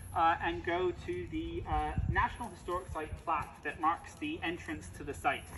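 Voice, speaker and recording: A man with a slight British accent at a moderate pace, noticeable background noise behind him. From UK. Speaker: heritage site tour guide. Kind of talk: guided tour. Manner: frequent filler hesitations.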